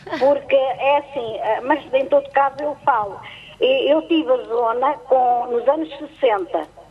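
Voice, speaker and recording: Against noticeable background noise, a woman speaks at a fairly slow pace in a high pitch with ordinary pitch variation. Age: 70s. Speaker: caller. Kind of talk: casual chat. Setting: phone call. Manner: halting.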